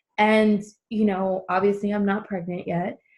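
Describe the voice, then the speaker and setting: At a fairly slow pace, a woman speaks in a medium pitch with ordinary pitch variation and a somewhat breathy sound. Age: 30s. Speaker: podcast host. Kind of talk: casual chat. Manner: halting.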